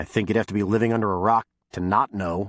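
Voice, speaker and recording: Putting on a character voice, a man growls at a fairly low pitch and a very fast pace. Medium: read story. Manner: curt and guarded.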